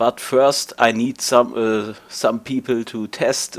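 A man with a German accent, fairly slow and monotone with flat intonation. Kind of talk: casual talk to camera. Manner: hesitant, stuttering.

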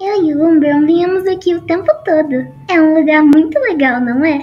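Faint music plays in the background behind a female-sounding, put-on character voice that is bubbly and pitched extremely high. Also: moderate pace. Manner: bubbly, teasing.

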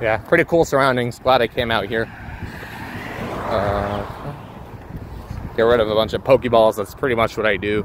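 Over noticeable background noise, a man with an American accent talks at a moderate pace in a relaxed tone, his pitch medium with ordinary variation, broken by long, frequent pauses. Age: 20s. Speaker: gaming streamer. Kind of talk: casual solo livestream commentary. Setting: outdoors walking in a port area. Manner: relaxed, filler-heavy.

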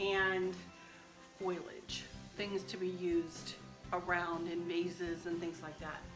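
The woman's delivery is fairly slow. Music sounds clearly in the background. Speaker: home decor vlogger. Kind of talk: casual vlog chat. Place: kitchen. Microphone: phone near.

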